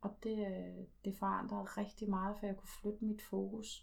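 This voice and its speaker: A woman speaking at a fairly slow pace. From Denmark, Slagelse (Zealand). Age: 40s. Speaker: twelve-step group member. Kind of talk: testimony. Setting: at home. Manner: halting.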